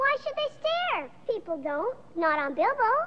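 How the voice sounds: A cartoonish character voice at an extremely high pitch makes very wide pitch swings at a fairly slow pace, with clear background noise.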